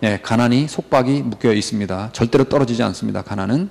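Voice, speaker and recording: A man speaks with ordinary pitch variation. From South Korea. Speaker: English vocabulary teacher. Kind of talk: lecture. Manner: animated. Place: studio.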